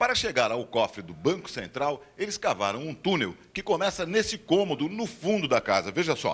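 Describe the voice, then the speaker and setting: This man has a high voice with very wide pitch swings, moving at a moderate pace with hardly any pauses. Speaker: TV news reporter. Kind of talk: TV news report narration.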